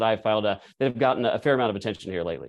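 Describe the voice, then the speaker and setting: A man speaks with vocal fry over a quiet background. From Texas. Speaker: state legislator. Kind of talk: interview.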